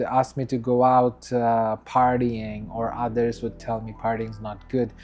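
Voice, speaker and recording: Music plays behind this recording. A man talks over it at a fairly slow pace. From Bangladesh. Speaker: vlogger. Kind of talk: casual monologue. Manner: unscripted, hesitant with fillers.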